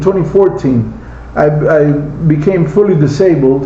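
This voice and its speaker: A man at a very slow pace, fairly high in pitch, with noticeable background noise and audible room echo. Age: 60s. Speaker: slot car hobbyist. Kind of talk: casual monologue. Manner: halting.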